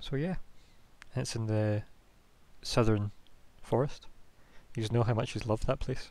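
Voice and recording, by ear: Fairly slow and with fairly even intonation, a man speaks in a dark, mellow tone. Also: medium pitch for a man.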